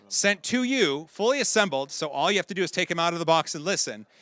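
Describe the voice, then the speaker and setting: With a high pitch, a bright, sharp tone and an upbeat, energetic tone, a man talks at a fairly quick pace with lively intonation, in a dry, close sound with no echo. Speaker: auctioneer. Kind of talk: live charity auction calling. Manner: upbeat, fast, energetic.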